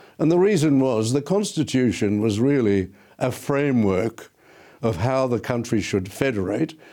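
With an Australian accent, a man speaks in a dark, mellow tone with lively intonation and very even loudness on a very clean recording with a silent background. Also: medium pitch for a man, moderate pace. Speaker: law professor. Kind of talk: interview, explaining history.

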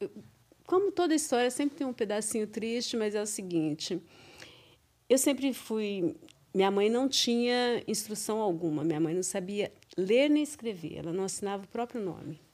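Lively in intonation, a woman talks at a moderate pace with a fairly high pitch. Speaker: teacher, mother of co-host. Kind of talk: casual interview. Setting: studio.

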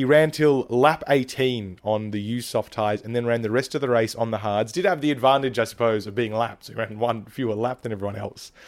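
This man talks at a medium pitch with an Australian accent. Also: ordinary pitch variation, fairly quick pace. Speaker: podcast host. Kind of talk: casual interview chat.

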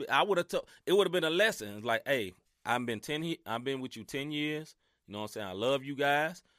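With a Southern US accent, a man talks at a fairly quick pace in a bright, sharp tone with very wide pitch swings, the sound dry and close with no echo. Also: very clean recording, silent background. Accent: Southern country twang. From US Mid-South. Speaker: sports podcast host. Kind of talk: casual chat. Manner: animated.

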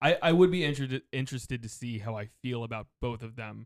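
In a plain, everyday voice, someone talks at a fairly quick pace with ordinary pitch variation, the sound dry and close with no echo. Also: man. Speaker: podcast host. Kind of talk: casual chat.

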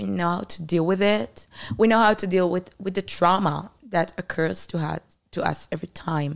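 The voice carries vocal fry and ordinary pitch variation. It speaks with an Israeli accent. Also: woman, fairly low pitch for a woman, moderate pace. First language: Hebrew. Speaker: former soldier. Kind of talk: interview about the war.

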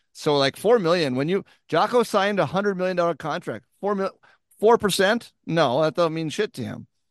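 A man's high-pitched voice, animated, with lively intonation and a fairly quick pace against a quiet background. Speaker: golf podcast co-host. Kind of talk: casual chat.

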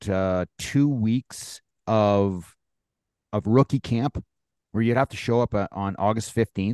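Against a quiet background, a man with a normal speaking voice talks at a fairly low pitch and a fairly slow pace in dry, close sound with no echo. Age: 40s. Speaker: former pro hockey player, podcast co-host. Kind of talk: casual chat.

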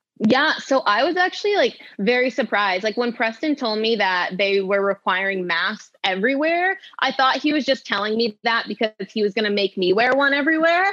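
With an American accent, a woman talks at a fairly quick pace with hardly any pauses, her bright, sharp, fairly high voice swinging very widely in pitch while her loudness stays very even. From Maine, US. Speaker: professional runner. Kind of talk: casual chat. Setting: studio.

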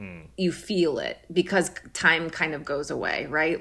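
In an American accent, a bright, sharp voice with vocal fry speaks fairly slowly in a monotone, flat intonation. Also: woman. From US Midwest, Minnesota. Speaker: actor and director. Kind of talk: casual interview.

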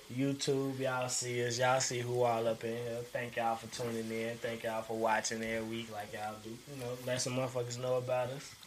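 A man talks at a fairly quick pace. His intonation stays flat and monotone. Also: medium pitch for a man. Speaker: podcast host. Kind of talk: casual chat.

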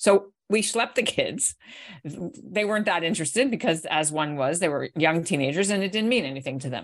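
Here is a plain, everyday voice: a woman with a Canadian accent at fairly low pitch. Her intonation is lively and her pace fairly quick. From Canada. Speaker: author and journalist. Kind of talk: casual interview. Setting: video call.

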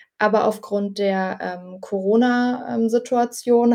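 With a dark, mellow tone, a woman speaks at a fairly high pitch and fairly even intonation. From Potsdam, eastern Germany. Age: 20s. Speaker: dog owner. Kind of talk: casual interview.

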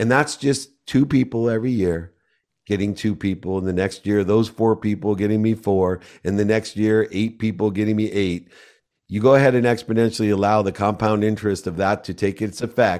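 A man's fairly low-pitched, ordinary speaking voice with fairly even intonation, on a very clean recording with a silent background. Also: fairly quick pace. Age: 50s. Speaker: entrepreneur and speaker. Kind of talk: interview.

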